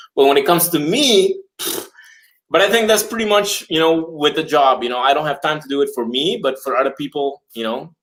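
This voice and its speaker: Speaking at a fairly quick pace, a man with a non-native accent uses a fairly high pitch and lively intonation. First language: not English. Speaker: videographer and watch YouTuber. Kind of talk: casual chat. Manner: halting.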